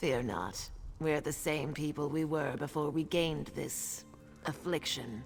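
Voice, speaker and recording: A put-on character voice at a low-to-middle pitch moves at a fairly slow pace over clear music in the background. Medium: video game. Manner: solemn, measured.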